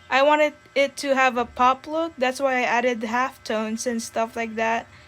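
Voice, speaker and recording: With music in the background, a woman talks at a moderate pace in a high pitch and fairly even intonation. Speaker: digital art YouTuber. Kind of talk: casual voiceover commentary. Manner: hesitant, many fillers; trouble pronouncing some words.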